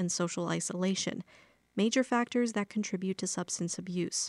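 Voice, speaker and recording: The recording is very clean, dry and close, with a silent background and no echo. A woman with a normal speaking voice and medium pitch speaks at a fairly quick pace. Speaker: radio news reporter. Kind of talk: news reading.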